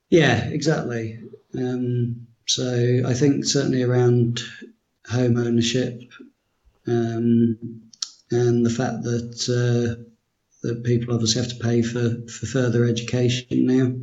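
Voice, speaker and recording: Long, frequent pauses break up a man's very slow, monotone, flat speech at a medium pitch, with audible room echo. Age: 30s. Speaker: finance worker and blog commenter. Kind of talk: casual interview. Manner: halting.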